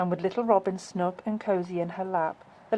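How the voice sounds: The speaker uses a natural reading voice. The intonation stays fairly even.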